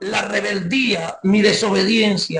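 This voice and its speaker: Music plays in the background as a man with a Venezuelan accent speaks at a very slow pace in a high pitch. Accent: Guárico Venezuelan accent, noticeable. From Guárico, Venezuela. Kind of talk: testimony. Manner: halting, many repetitions and fillers.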